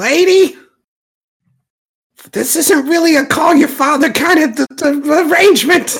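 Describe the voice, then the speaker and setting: Someone uses a put-on character voice at a fairly slow pace. Long, frequent pauses break up the speech. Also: man, extremely high pitch for a man. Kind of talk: fantasy tabletop character voice. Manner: blunt, no-nonsense.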